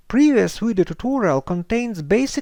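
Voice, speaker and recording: A man with a Ukrainian accent, lively intonation and a moderate pace. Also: quiet background. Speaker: software tutorial creator. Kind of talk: tutorial.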